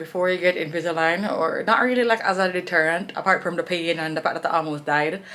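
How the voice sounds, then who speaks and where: Noticeable background noise sits behind a woman speaking in an animated tone. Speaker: vlogger. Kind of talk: casual vlog monologue. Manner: casual, animated.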